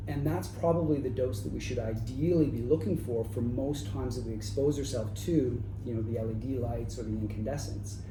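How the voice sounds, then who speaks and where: With music in the background and audible room echo, a man speaks in a Canadian accent. He talks at a fairly quick pace with hardly any pauses. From Canada, Toronto. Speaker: chiropractor. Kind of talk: interview.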